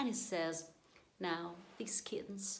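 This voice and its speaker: A woman with a non-native accent uses lively intonation and a fairly low pitch at a moderate pace. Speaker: amateur poetry reader. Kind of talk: poetry reading.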